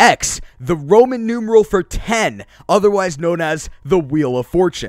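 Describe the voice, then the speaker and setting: A man with a high pitch and lively intonation is heard in a dry, close sound with no echo. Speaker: anime YouTuber. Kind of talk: unscripted video commentary. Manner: casual, unscripted with some hesitations.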